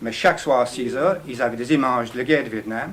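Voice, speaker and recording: A man with an English accent at a fairly quick pace, over noticeable background noise. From England. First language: English (speaking French). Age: 60s. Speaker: audience member. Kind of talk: audience question.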